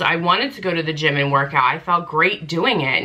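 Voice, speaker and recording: Over noticeable background noise, a woman speaks at a moderate pace in an animated tone and a fairly low pitch. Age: 30s. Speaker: lifestyle vlogger. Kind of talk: casual chat.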